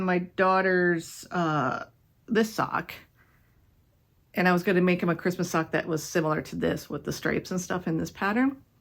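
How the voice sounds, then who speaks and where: On a very clean recording with a silent background, a woman with a medium pitch speaks at a moderate pace, with ordinary pitch variation and long, frequent pauses. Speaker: knitting podcaster. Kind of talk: casual chat.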